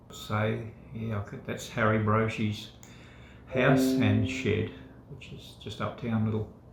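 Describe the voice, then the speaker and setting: Over noticeable background noise and audible room echo, a man with an Australian accent and a fairly low pitch speaks at a fairly slow pace with fairly even intonation and long, frequent pauses. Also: big swings in loudness. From Australia, Victoria. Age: 60s. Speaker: former fisherman. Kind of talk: casual chat. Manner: halting, many fillers.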